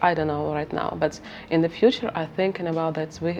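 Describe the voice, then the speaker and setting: With a Ukrainian accent, a woman speaks at a very deep, low pitch. Noticeable background noise sits behind her. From Ukraine, Kharkiv. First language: Ukrainian or Russian. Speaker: researcher and interviewer. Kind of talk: interview. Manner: halting, many fillers.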